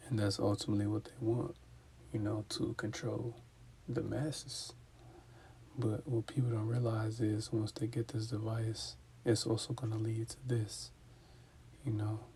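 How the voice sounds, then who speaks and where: A man's somewhat breathy voice with fairly even intonation and long, frequent pauses. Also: medium pitch for a man, moderate pace. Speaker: religious teacher. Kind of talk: scripture teaching. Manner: stuttering at times.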